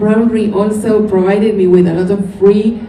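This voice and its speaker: A woman speaks at a medium pitch with a Spanish accent and a moderate pace. Noticeable background noise and audible room echo fill the recording. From Argentina, Buenos Aires. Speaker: knitwear designer. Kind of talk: interview.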